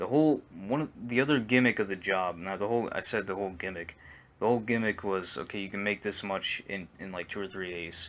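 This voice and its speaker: This man talks at a very fast pace with ordinary pitch variation and a fairly low pitch. The recording is very clean, with a silent background. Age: 20s. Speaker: gaming YouTuber. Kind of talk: casual rant monologue. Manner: soft-spoken; halting, repetitive.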